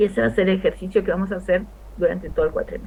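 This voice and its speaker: The room echo is audible as a woman talks. Her pace is fairly quick. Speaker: history teacher. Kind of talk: lecture. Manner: fast.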